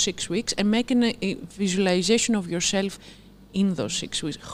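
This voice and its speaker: A woman with a Greek accent speaks at medium pitch with ordinary pitch variation. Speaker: nutrition challenge coach at a gym. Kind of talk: live Q&A chat. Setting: live stream.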